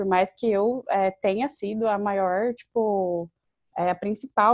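A woman's unremarkable speaking voice, medium in pitch, with fairly even intonation and a dry, close sound with no echo. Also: quiet background. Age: 20s. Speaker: university student and youth organization leader. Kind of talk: interview.

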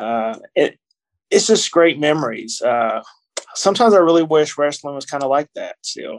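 A man speaks in a Kentucky accent at a moderate pace. His loudness swings widely. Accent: Kentucky Southern US. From Kentucky, US. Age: 40s. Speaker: author and wrestling podcaster. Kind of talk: casual interview. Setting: hotel room.

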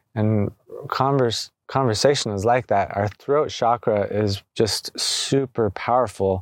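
A man with a fairly low pitch is heard in a dry, close sound with no echo on a very clean recording with a silent background. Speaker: energy healer podcast host. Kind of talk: casual reflective conversation on healing. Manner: soft-spoken.

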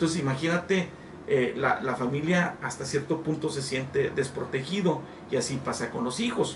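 Against noticeable background noise and audible room echo, a man talks in a fairly high pitch with ordinary pitch variation. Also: moderate pace. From northern Mexico, Coahuila. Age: 50s. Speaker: pastor. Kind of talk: interview.

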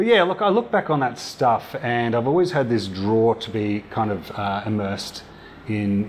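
A man with an Australian accent speaks at a fairly quick pace over noticeable background noise. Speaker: VR company founder and filmmaker. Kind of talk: casual interview.

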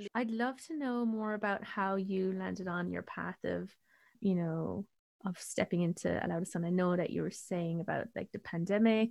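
With an Irish accent, a woman speaks at a moderate pace in a medium-pitched voice. Her pitch varies in an ordinary way, and the background is quiet. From Ireland. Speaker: podcast host, astrologer and spiritual coach. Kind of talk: casual interview chat.

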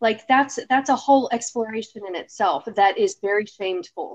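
An unremarkable speaking voice from a woman, moderate in pace and fairly high in pitch. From Texas. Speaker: podcast co-host. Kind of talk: casual chat.

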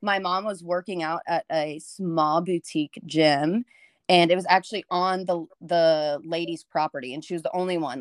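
With a Texan accent, a woman speaks at a fairly low pitch in a dry, close sound with no echo. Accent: Texan American. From Texas, rural area north of Houston. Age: 20s. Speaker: fitness coach. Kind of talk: casual interview.

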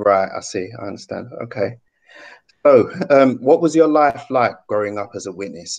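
His pitch shifts in an ordinary way. The man keeps a moderate pace. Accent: British. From UK. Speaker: YouTube channel host, ex-Jehovah's Witness. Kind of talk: interview.

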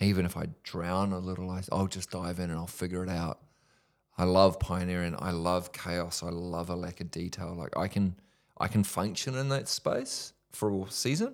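In a New Zealand accent, a man talks at a moderate pace with a very deep, low pitch and fairly even intonation, recorded very cleanly against a silent background. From New Zealand, Whanganui. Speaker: ministry leader. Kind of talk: testimony. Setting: studio.

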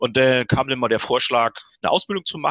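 With a bright, sharp tone and lively intonation, a man speaks in a dry, close sound with no echo. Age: 50s. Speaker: firefighter. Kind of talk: interview. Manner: hesitant, many fillers.

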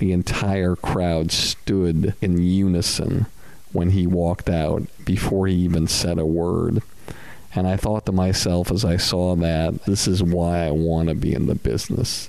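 A man with a very deep, low pitch speaks at a fairly slow pace, his intonation fairly even and his loudness very even. Noticeable background noise runs underneath. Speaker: podcast host and talent manager. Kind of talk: casual interview chat. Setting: on location.

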